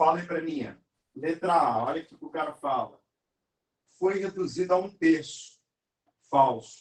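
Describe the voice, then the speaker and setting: Pitched high for a man, this speaker talks at a fairly slow pace with ordinary pitch variation, big swings in loudness and long, frequent pauses. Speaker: math teacher. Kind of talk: live online lesson.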